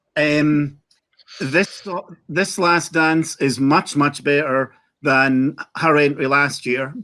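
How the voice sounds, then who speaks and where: A fairly high-pitched man with a Scottish accent. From Scotland. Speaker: Eurovision fan panelist. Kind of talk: casual chat.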